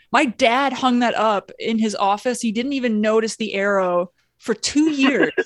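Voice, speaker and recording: Woman with a normal speaking voice and an American accent, fairly high pitch, ordinary pitch variation and moderate pace, in a dry, close sound with no echo. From Indiana, South Bend. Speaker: comedian. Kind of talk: casual chat. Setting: video call.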